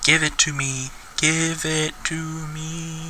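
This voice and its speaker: A put-on character voice at a middle pitch, very slow pace, and clear background noise. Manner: whispering, eerie.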